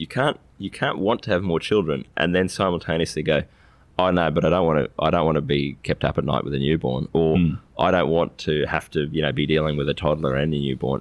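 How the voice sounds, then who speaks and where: This man speaks at a very fast pace with a very deep, low pitch and ordinary pitch variation. Vocal fry runs through his voice. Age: 30s. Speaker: financial advisor. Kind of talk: casual chat.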